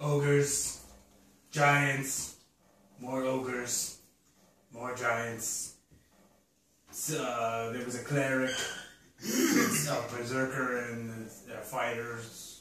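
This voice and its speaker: A man's put-on character voice at medium pitch, very slow, with long, frequent pauses and a slight echo. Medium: actual play.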